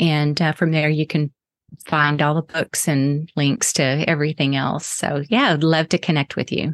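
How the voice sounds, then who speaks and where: With an American accent, a woman speaks in a very deep, low voice, recorded dry and close with no echo against a quiet background. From Texas. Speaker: artist and author. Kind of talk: interview chat.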